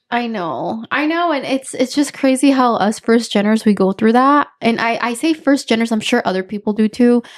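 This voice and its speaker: Speaking with a Spanish accent at a moderate pace, a woman uses a fairly high pitch with ordinary pitch variation and hardly any pauses. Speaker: podcast host. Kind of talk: casual chat.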